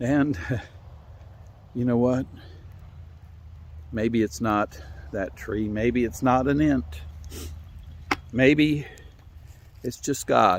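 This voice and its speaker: Using an Appalachian accent, a man speaks very slowly at a medium pitch with lively intonation and long, frequent pauses. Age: 60s. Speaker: storyteller. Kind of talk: storytelling. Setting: outdoors.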